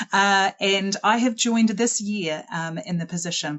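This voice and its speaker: A woman of medium pitch speaks with ordinary pitch variation. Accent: New Zealand. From New Zealand, Auckland. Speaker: school head. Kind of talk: presentation. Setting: online webinar.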